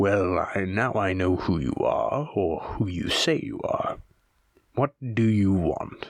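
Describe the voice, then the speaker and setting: Gruff and growling, the put-on character voice rumbles through the lines. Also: man, fairly low pitch for a man, fairly slow pace. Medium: read story. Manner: blunt, gruff.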